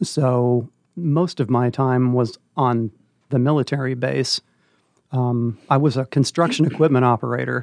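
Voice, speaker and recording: A man with an American accent speaks at a medium pitch and a fairly slow pace, in a normal speaking voice with fairly even intonation and very even loudness. The sound is dry and close with no echo, over a quiet background. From Northern California. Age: 60s. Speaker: retired English teacher and volunteer reader. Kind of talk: interview.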